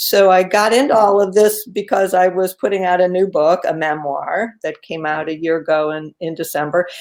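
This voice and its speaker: Here is a woman with a plain, everyday voice, pitched in the medium range. She talks at a moderate pace with ordinary pitch variation. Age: 60s. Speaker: quilter and author. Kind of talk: casual interview. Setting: live video stream.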